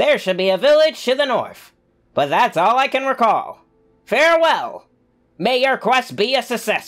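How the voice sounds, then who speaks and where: Faint music sits in the background as the speaker uses a put-on character voice at a high pitch, enthusiastic in tone and at a moderate pace. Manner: enthusiastic, exclamatory, formal robotic.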